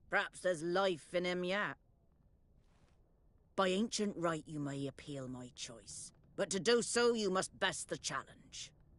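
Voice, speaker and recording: A put-on character voice at a middle pitch moves along at a moderate pace. Long pauses break up the speech often. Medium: short film. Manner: scornful, imperious.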